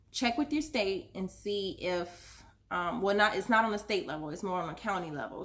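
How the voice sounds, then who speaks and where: At a moderate pace, a woman talks in an ordinary speaking voice, her pitch varying in an ordinary way. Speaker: small business owner giving how-to advice. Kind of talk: casual tutorial vlog. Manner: rambling, many fillers (um, uh).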